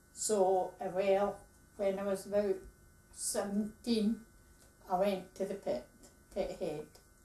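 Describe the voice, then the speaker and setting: At a very slow pace with long, frequent pauses, a woman speaks in a dark, mellow tone with fairly even intonation. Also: medium pitch for a woman. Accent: Scottish. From Scotland, Fife (Lochgelly). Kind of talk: interview testimony.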